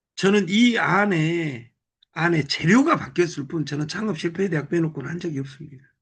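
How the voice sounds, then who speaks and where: A man's high voice with ordinary pitch variation. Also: moderate pace. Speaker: business group leader. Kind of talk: motivational talk. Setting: live video call.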